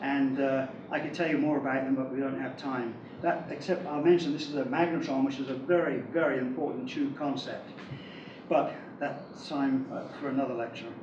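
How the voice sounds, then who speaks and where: A man's fairly high voice with fairly even intonation, amid audible room echo and noticeable background noise. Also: fairly quick pace. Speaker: electrical engineer. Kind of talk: lecture. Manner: fast.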